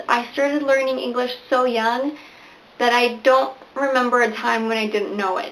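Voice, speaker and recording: A woman's high voice in a Spanish accent at a moderate pace, fairly even in intonation, with audible room echo and noticeable background noise. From Venezuela (Barquisimeto) to age nine, then US; back in Venezuela for high school. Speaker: booktuber. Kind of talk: casual vlog talk to camera.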